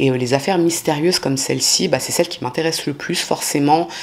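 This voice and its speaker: Over noticeable background noise, a woman talks at a fairly quick pace with a very deep, low pitch. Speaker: true crime youtuber. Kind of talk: casual true crime narration. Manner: fast; casual, many fillers.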